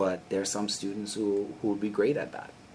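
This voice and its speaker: A man with a Bahamian accent. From Bahamas. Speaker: conservation scientist and policy analyst. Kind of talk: podcast interview.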